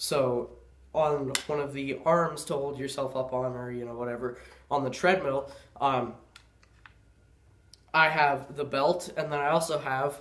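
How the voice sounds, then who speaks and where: The speech is broken by long, frequent pauses. Audible room echo surrounds it. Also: man. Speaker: gun and gear video maker. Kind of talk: casual gear tutorial. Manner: casual, filler-heavy.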